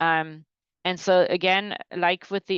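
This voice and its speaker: A woman talks in a fairly low pitch with monotone, flat intonation. The sound is dry with no echo, over a quiet background. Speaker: groundwater modeling presenter; presenter. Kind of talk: technical webinar presentation. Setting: online webinar. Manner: hesitant, many fillers and restarts. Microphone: webcam.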